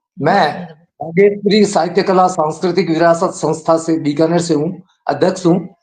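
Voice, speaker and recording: The man's pitch is high. His intonation is monotone and flat. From Rajasthan, Bikaner. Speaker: poet. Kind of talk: self-introduction.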